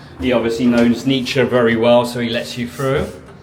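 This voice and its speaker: A medium-pitched man at a moderate pace, with noticeable background noise and audible room echo. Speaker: real estate agent. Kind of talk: property tour vlog. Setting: indoors in condo building. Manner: loud; animated.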